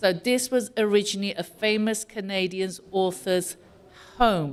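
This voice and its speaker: A woman speaks with a British accent at medium pitch. Her pace is fairly slow. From UK. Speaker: community organization president. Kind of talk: welcome speech. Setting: community hall with audience.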